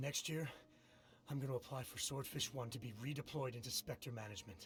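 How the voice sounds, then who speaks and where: Over clear background noise, a man does a raspy, put-on character voice at medium pitch and a fairly quick pace. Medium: video game.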